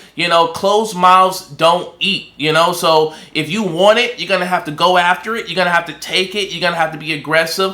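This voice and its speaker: An animated, high-pitched male voice amid noticeable background noise. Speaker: recruiter and online business coach. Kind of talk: tutorial. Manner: fast.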